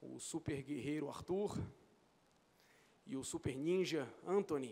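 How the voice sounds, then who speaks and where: This man talks at a very slow pace with ordinary pitch variation. His voice is fairly high in pitch and dark, mellow in tone. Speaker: mathematics professor. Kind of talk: acceptance speech. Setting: legislative chamber ceremony. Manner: halting.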